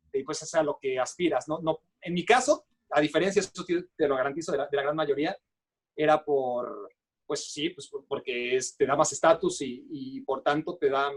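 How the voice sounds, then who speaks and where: Recorded dry and close with no echo, a man talks fairly quickly at a fairly high pitch with ordinary pitch variation. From Mexico. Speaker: sports journalist. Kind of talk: interview. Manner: halting, many fillers.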